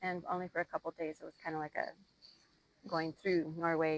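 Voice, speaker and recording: With an Upper Midwest accent, a woman speaks in a fairly low pitch and monotone, flat intonation, the sound dry and close with no echo. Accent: Upper Midwest American. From Minnesota. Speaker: podcast guest. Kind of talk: casual interview.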